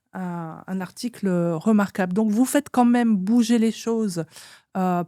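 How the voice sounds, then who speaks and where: A woman with a dark, mellow tone speaks at a very slow pace with fairly even intonation, in a dry, close sound with no echo and a very clean recording over a silent background. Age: 60s. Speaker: interviewer and anthropologist. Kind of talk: interview.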